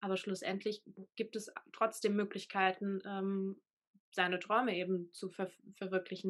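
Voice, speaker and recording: A woman's medium-pitched voice, monotone and flat in intonation. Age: 20s. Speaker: full-time van nomad. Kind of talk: interview.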